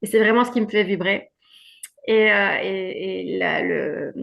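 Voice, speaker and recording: A woman's fairly high-pitched voice. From Belgium. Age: 50s. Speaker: women's wellbeing coach. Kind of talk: testimony.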